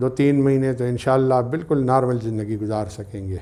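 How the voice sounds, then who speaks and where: This man's tone is dark and mellow. He keeps his intonation fairly even. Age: 60s. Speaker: patient. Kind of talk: testimonial.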